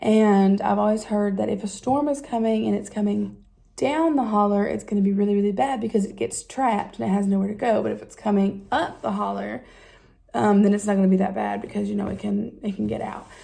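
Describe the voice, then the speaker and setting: A woman with an Appalachian accent at a fairly quick pace. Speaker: vlogger. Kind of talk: casual talk to camera. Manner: hesitant, many fillers.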